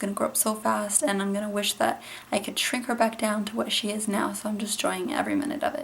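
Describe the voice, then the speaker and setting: Noticeable background noise runs under a woman speaking at a very fast pace. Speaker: mom vlogger. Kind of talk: casual vlog talk.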